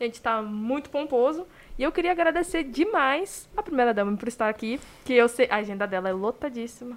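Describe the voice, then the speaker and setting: An animated woman speaks with a high pitch and lively intonation. Her pace is fairly quick. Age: 20s. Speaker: podcast host. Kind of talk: live podcast interview.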